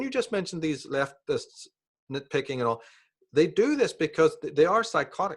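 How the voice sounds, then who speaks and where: In a very clean recording with a silent background, a man speaks at a very fast pace. He talks with a Northern Irish accent. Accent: Northern Irish (Belfast). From Northern Ireland, Belfast. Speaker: author and speaker on esoteric topics. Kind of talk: interview conversation.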